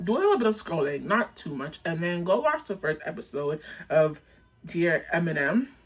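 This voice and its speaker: An animated tone at a moderate pace, set against noticeable background noise. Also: woman. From Canada, Jamaican family. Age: 20s. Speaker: content creator. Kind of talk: storytime vlog. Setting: dim room, on camera. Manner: animated, casual.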